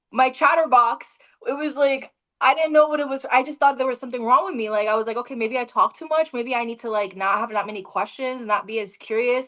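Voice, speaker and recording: A woman talks at a high pitch and a fairly quick pace in an animated tone. Her pitch varies in an ordinary way while her loudness swings widely. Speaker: spiritual podcast host. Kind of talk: casual chat. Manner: fast.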